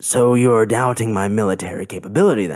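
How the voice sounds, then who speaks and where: A man puts on a character voice at a medium pitch, moving at a fairly quick pace. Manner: squinting, defensive, indignant.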